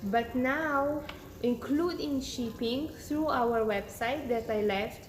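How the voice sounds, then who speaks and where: A woman with a non-native accent speaks in a high voice with ordinary pitch variation. Room echo is audible. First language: not English. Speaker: beauty influencer. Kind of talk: live-stream product demo and sales pitch. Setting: Instagram live broadcast. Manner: casual, slightly halting.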